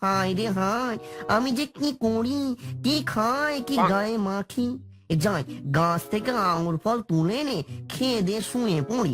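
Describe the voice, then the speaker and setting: A cartoonish character voice, fairly high in pitch at a moderate pace, with faint music in the background. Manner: crude, boastful.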